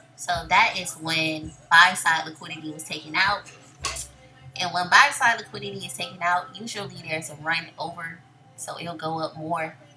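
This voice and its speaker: Over background music and audible room echo, the voice moves at a moderate pace with fairly even intonation and big swings in loudness. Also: woman, fairly low pitch for a woman. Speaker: day trader and trading educator. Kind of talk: screen-share trade recap tutorial. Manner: casual.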